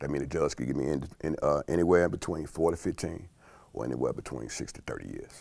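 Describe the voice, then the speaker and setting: With an American accent, a man talks at a fairly quick pace, and the sound is dry with no echo. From South Side of Chicago. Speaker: food company employee. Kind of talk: interview answer. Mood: calm, reflective life story. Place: studio. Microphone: lapel.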